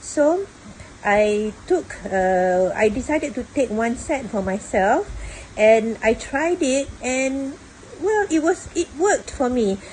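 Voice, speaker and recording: A woman talks with lively intonation while noticeable background noise runs underneath. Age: 60s. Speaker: retiree, former customer service worker. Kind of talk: testimonial to camera.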